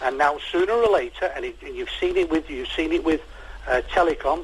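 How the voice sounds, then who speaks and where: Speaking with a Mancunian accent at a moderate pace, a man is heard over noticeable background noise. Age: 60s. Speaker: caller. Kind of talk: phone-in radio chat. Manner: animated.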